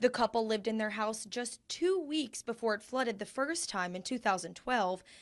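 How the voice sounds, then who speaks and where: This woman has a normal speaking voice, pitched fairly high, with lively intonation at a moderate pace. The background is quiet. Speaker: TV news reporter. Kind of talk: TV news reporting, on-location report.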